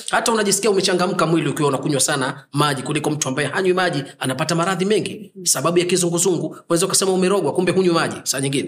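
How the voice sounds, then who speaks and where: With hardly any pauses, a man rushes along at a very fast pace in a high-pitched voice. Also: ordinary pitch variation. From Zanzibar. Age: 40s. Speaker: Islamic healer and preacher. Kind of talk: interview.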